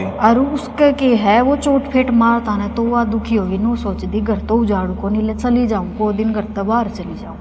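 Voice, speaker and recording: Fairly high female voice with fairly even intonation, a moderate pace and hardly any pauses, over background music. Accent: Haryana. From Haryana. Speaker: Haryanvi stage actress. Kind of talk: storytelling interview answer.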